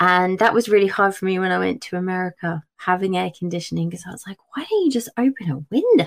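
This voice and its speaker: Talking at a very fast pace with hardly any pauses, a woman with an English accent has a medium pitch and ordinary pitch variation. Her loudness swings widely, and the sound is dry and close with no echo. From England. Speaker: children's book author. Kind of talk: casual chat.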